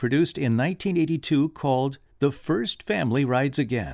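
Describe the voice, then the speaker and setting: In a very clean recording with a silent background, the speech moves at a moderate pace. It is an ordinary speaking voice. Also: man. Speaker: radio host. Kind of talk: radio intro and outro.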